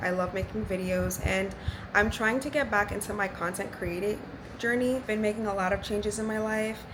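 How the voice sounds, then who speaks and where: Speaking at a fairly quick pace, a woman of medium pitch is heard with audible room echo and noticeable background noise. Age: 20s. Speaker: nurse and vlogger. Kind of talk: casual vlog monologue.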